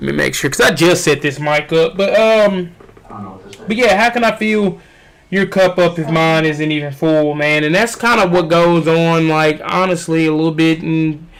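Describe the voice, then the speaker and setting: A man's high-pitched voice at a moderate pace, with ordinary pitch variation and noticeable background noise. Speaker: fitness trainer and streamer. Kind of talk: casual livestream chat. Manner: loud; animated.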